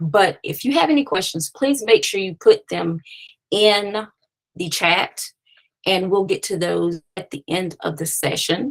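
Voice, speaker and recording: At a fairly slow pace, a woman with a normal speaking voice and medium pitch talks with lively intonation. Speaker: screenwriter and consultant hosting a webinar. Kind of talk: webinar presentation. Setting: online webinar.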